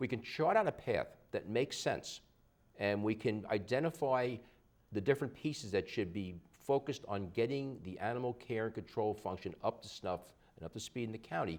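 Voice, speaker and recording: At a fairly quick pace, a man speaks in an unremarkable speaking voice of medium pitch with ordinary pitch variation. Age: 60s. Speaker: local politician. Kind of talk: TV interview.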